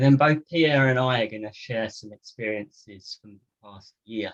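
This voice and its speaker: A man with a British accent, ordinary pitch variation, and a dry, close sound with no echo. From United Kingdom. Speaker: physiotherapist. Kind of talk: lecture.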